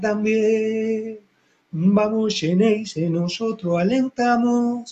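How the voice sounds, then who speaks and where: A man with a high pitch and a dark, mellow tone speaks at a very slow pace. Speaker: football fan radio show host. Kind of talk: casual fan call-in show. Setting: home studio, live on Facebook. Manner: animated.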